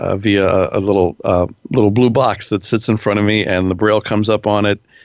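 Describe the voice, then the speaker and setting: A man with an American accent and an unremarkable speaking voice, fairly low in pitch, at a moderate pace. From Pennsylvania. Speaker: radio personality and voice-over artist. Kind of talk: interview answer.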